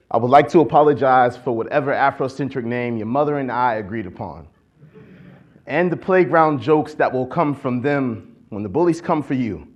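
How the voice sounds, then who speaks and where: Using an ordinary speaking voice, a man with an American accent talks at a moderate pace and medium pitch with ordinary pitch variation. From Akron, Ohio. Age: 20s. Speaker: poet-activist. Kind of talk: spoken-word poetry performance. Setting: conference stage.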